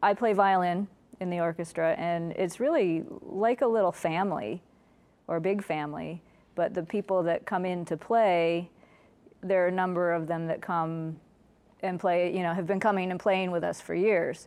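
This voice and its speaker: At a moderate pace, an ordinary speaking voice comes through with an American accent. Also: woman, fairly low pitch for a woman. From Central New York (Liverpool, NY). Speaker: music teacher and violinist. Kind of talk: interview.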